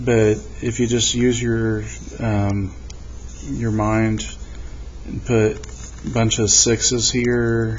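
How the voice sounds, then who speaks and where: The speech moves at a very slow pace with long, frequent pauses. Audible room echo and noticeable background noise surround it. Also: man. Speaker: math teacher. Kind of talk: tutorial.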